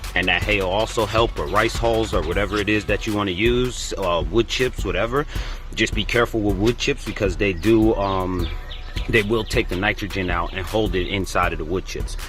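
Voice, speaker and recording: A man talks in a New York accent with music playing in the background. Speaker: gardening youtuber. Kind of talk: tutorial. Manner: fast.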